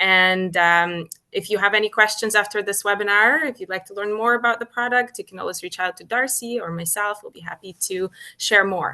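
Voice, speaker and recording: Speaking in a Ukrainian accent, a woman has a medium pitch, a bright, sharp tone, ordinary pitch variation, big swings in loudness and a fairly quick pace. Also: quiet background. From Ukraine. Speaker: cruise line business development manager. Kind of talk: webinar introduction. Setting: hotel room, video call.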